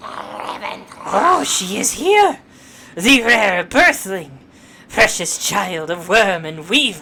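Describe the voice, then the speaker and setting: Someone uses a put-on character voice at a middle pitch, moving at a very slow pace. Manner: dramatic, theatrical, gloating.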